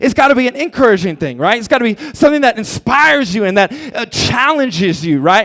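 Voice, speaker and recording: A man speaks loudly in an animated tone, his pitch swinging very widely. Noticeable background noise runs behind him. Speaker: preacher. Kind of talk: sermon.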